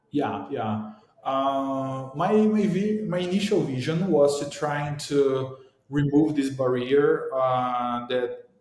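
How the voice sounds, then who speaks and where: Speaking at a very slow pace with a Portuguese accent, the voice shows ordinary pitch variation amid audible room echo. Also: man, fairly high pitch for a man. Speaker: startup founder. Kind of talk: interview. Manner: halting.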